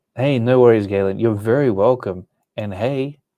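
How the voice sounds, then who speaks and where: A man speaks in an American accent at a moderate pace and medium pitch. His tone is relaxed, dark and mellow. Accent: Australian with some American sound. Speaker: comic art teacher. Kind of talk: live stream chat. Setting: live stream.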